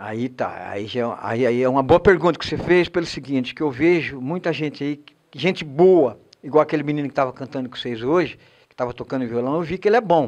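A man's fairly high voice at a fairly quick pace, with big swings in loudness over a quiet background. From Brazil. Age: 60s. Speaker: singer-songwriter. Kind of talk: interview. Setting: studio. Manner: halting. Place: studio. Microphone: handheld.

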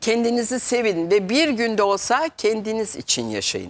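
A woman speaks at a moderate pace. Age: 60s. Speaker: metaphysics consultant; guest. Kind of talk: TV talk show interview. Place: studio. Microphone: lapel.

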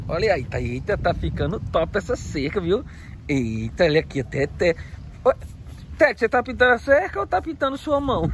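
Light background noise sits under a man speaking at a moderate pace, with a dry sound and no echo. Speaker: circus vlogger. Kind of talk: casual vlog chat. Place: open country. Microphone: phone near.

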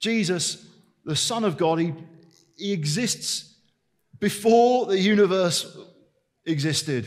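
A man speaks at a very slow pace with lively intonation and long, frequent pauses, over a quiet background. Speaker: preacher. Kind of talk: sermon. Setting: church service. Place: church. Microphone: headset.

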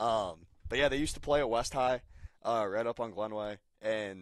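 This man speaks with an American accent and fairly even intonation. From Cincinnati, Ohio. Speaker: baseball team producer and writer. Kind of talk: podcast interview. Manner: halting, repeats words.

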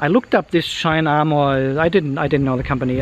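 A man speaking at a fairly quick pace with fairly even intonation, dry sound with no echo, and light background noise. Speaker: car vlogger. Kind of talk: casual vlog chat. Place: street. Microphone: phone near.

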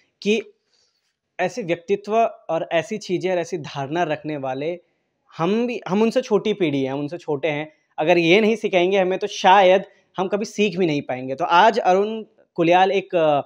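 Here a man speaks at a fairly slow pace with a high pitch. His pitch variation is ordinary, and the background is quiet. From Uttarakhand. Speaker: video channel host. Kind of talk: interview. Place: home room. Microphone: handheld.

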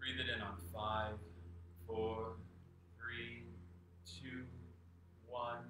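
A man talks at a very slow pace with long, frequent pauses, his fairly low pitch held in fairly even intonation. The recording has audible room echo and noticeable background noise. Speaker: meditation teacher. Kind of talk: guided meditation. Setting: live video stream. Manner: calm, slow, soothing. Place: home room. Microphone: camera far.

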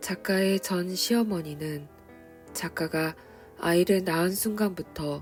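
With music in the background, a woman speaks very slowly in a calm tone, her fairly low pitch showing ordinary variation. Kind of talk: reflective personal commentary on a book, spoken to the listener. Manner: quiet, calm, soft-spoken.

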